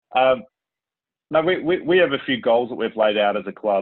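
This man speaks with an Australian accent. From Melbourne, Australia. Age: 30s. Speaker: sports club president. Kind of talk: casual chat.

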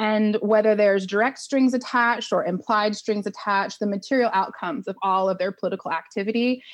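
Over a quiet background, a normal speaking voice with an American accent moves at a fairly quick pace with ordinary pitch variation. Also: woman. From Oklahoma. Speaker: nonprofit executive director. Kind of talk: interview.

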